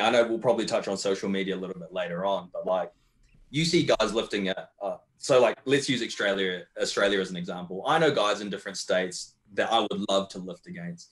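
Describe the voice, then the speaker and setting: A man talks at a very fast pace in a New Zealand accent. His intonation is lively. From New Zealand, Wellington. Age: 20s. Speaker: competitive powerlifter. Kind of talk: casual chat.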